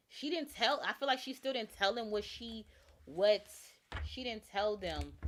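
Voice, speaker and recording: A woman with a fairly high pitch and vocal fry talks at a moderate pace. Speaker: tarot reader and true crime livestreamer. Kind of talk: live stream tarot reading. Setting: live stream.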